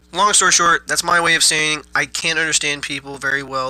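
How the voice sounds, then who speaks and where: Noticeable background noise accompanies a man speaking at a moderate pace. His pitch is fairly high and his intonation fairly even. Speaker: gaming YouTuber. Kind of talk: casual gameplay tutorial.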